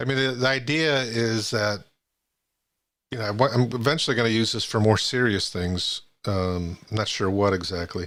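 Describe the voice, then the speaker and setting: Speaking at a moderate pace with an American accent, the voice comes through in a very clean recording with a silent background. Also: man, medium pitch for a man, ordinary pitch variation. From US. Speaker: live streamer. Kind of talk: casual chat. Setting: live stream voice chat.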